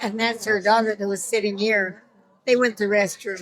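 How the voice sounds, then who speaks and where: A woman with a Pacific Northwest accent and a fairly high pitch. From Washington State, Yakima area. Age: 90s. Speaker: alumna at school reunion. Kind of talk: casual interview.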